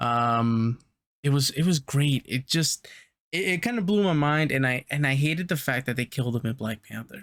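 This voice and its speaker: A man with a plain, everyday voice talks at a moderate pace, his pitch fairly high and its variation ordinary. The recording is very clean with a silent background, and the sound is dry and close with no echo. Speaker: podcast co-host. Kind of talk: casual chat.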